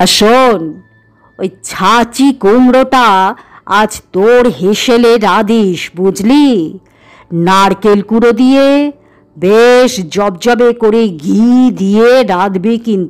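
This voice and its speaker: Over faint music in the background, a woman does a put-on character voice at a fairly high pitch, speaking at a very slow pace with very even loudness. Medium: read story. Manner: low-voiced, chuckling.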